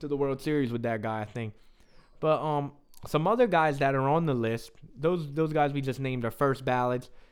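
A man with an American accent and a normal speaking voice, fairly high in pitch, at a moderate pace with ordinary pitch variation. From US, South Jersey. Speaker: sports podcast host. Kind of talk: casual sports talk.

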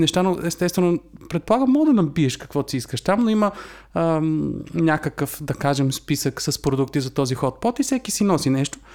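This man's pitch rises and falls very widely. He talks at a moderate pace. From Bulgaria. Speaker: podcast co-host. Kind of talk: casual chat.

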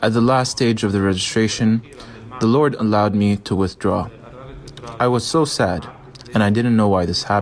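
Noticeable background noise sits behind a man speaking at a moderate pace with a fairly low pitch and ordinary pitch variation. His loudness stays very even, broken by long, frequent pauses. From Syria. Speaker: missionary. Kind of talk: testimony.

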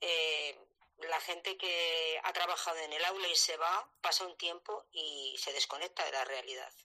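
Her voice is fairly low-pitched with a bright, sharp tone, and this woman speaks at a fairly slow pace with fairly even intonation. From La Rioja, Spain. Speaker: retired teacher. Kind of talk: casual chat. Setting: live online audio room.

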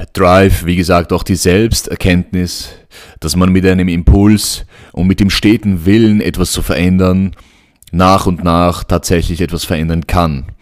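The recording is very clean, and the background is silent. A man talks at a moderate pace with fairly even intonation and a very deep, low pitch. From Vienna, Austria. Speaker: podcast host. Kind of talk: solo podcast monologue. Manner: hesitant, many fillers.

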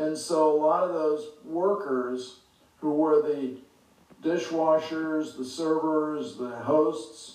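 Very slowly, a man with an American accent speaks at a fairly high pitch and fairly even intonation. Noticeable background noise runs underneath. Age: 70s. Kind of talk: solo podcast monologue on politics. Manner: hesitant, filler words.

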